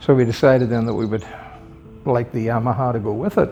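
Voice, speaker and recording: With music in the background, a man of medium pitch speaks with fairly even intonation. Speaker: retired police officer, motorcycle collector. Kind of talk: interview answer. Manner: soft-spoken.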